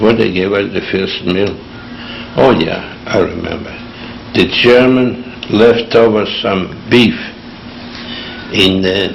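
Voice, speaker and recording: Through audible room echo and noticeable background noise, a man with a fairly low pitch and fairly even intonation speaks at a very slow pace with long, frequent pauses. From Lithuania. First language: Yiddish. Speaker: Holocaust survivor. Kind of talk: oral history interview. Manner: halting.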